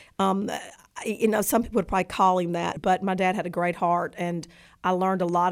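The speech comes at a fairly quick pace with fairly even intonation. The recording is very clean, with a silent background. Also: woman. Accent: Southern US. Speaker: adoptive mother of a football player. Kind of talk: interview.

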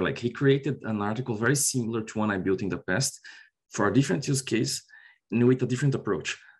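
Against a quiet background, a man speaks at a very fast pace with a Portuguese accent. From Brazil. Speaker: software consultant. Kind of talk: interview.

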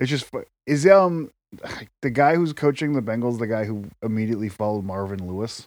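In a very clean recording with a silent background, a man talks at a fairly quick pace in a normal speaking voice with a medium pitch. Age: 30s. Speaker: podcast co-host. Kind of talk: casual chat.

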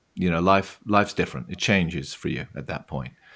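Speaking with a southwest English accent, a man has a very deep, low pitch on a very clean recording with a silent background. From England, Devon. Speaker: brewery founder. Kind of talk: interview. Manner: halting.

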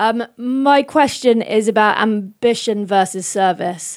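In a British accent, a woman speaks with fairly even intonation. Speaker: event curator and podcast host. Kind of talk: scripted introduction and moderated talk. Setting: stage with audience.

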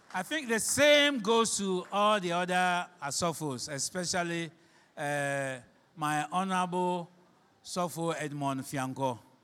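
In a Ghanaian accent, a man speaks at a high pitch and a fairly slow pace with lively intonation on a very clean recording with a silent background. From Ghana, Shama (Western Region). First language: Fante (Akan). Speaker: pastor. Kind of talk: sermon.

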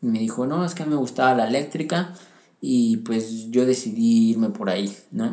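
A man speaks with lively intonation and a dark, mellow tone. Room echo is audible around his voice. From central Mexico (Pachuca, Hidalgo). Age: 20s. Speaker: young churchgoer sharing his faith story. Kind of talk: personal testimony.

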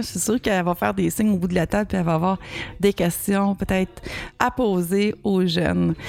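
A woman talks with ordinary pitch variation while noticeable background noise carries on behind her. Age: 40s. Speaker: podcast co-host. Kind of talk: casual chat. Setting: restaurant bar. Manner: halting.

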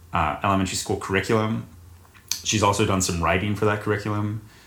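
With audible room echo, a man with an American accent speaks in a fairly low pitch and fairly even intonation. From US South, North Carolina. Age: 20s. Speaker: actor. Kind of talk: casual chat.

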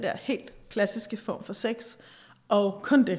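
A woman's fairly high voice, an unremarkable speaking voice with ordinary pitch variation. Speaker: podcast host and therapist-style advisor. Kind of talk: solo monologue podcast.

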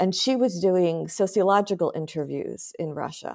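An unremarkable speaking voice from a woman with an American accent, fairly low in pitch, with ordinary pitch variation at a moderate pace. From US, small town in Pennsylvania. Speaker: historian and professor. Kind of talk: interview conversation.

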